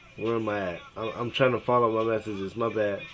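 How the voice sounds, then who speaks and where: Noticeable background noise behind a man's medium-pitched, monotone, flat voice at a fairly quick pace. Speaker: father reading daughter's texts. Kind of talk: casual chat. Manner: halting.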